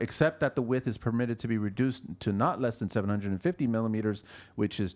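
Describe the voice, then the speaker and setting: On a very clean recording with a silent background, a man with a Canadian accent speaks fairly quickly in a normal speaking voice, at medium pitch with ordinary variation. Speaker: podcast host. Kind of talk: casual chat.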